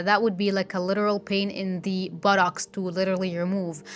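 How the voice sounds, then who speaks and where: This woman talks at a medium pitch. She has a non-native accent. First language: not English. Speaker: beauty vlogger. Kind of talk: tutorial vlog; voiceover narration. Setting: filming at home.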